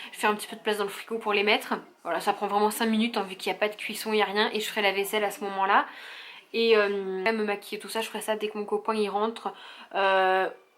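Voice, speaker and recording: This woman talks at a very fast pace and medium pitch. Her intonation is monotone and flat. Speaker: vlogger, young mother. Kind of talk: casual vlog. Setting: at home.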